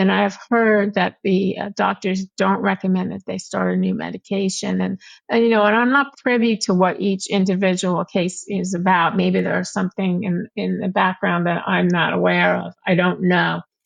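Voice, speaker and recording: Barely pausing at all, a woman keeps to a moderate tempo. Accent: American. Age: 60s. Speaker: patient advocate and blogger. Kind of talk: interview.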